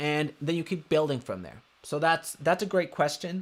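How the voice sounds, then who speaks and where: A man with a Spanish accent at a moderate pace, with ordinary pitch variation. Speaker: real estate marketing coach. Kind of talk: live webinar tutorial. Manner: animated.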